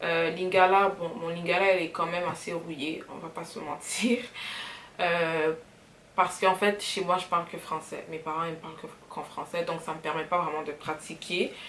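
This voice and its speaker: Noticeable background noise sits behind a woman speaking at a fairly low pitch and a moderate pace. Her intonation is fairly even, but her loudness swings a lot. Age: 20s. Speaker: vlogger. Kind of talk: casual get-to-know-me vlog. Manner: mixes French and English.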